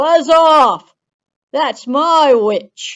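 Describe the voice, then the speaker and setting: This is a put-on character voice, high in pitch. It sounds shrill. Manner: menacing, gruff.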